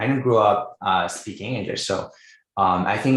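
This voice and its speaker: A man speaks in a Quebec accent. The recording is very clean, with a silent background. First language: French. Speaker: writing coach. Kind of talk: interview.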